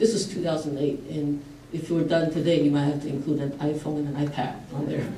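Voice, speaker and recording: A woman with a very deep, low pitch speaks at a fairly quick pace and with fairly even intonation. Audible room echo and light background noise come through. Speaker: engineering professor. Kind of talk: panel presentation. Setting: stage with audience. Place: hall. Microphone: camera far.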